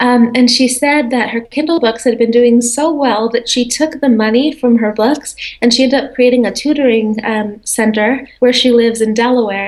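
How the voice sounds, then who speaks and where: Against noticeable background noise, a woman talks at a moderate pace in a high voice with fairly even intonation. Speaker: entrepreneur and author. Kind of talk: interview answer. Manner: soft-spoken, gentle.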